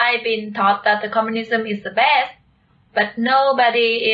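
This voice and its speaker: Speaking slowly with a Vietnamese accent, a woman uses a fairly high pitch and fairly even intonation. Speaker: video channel co-host. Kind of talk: conversational discussion.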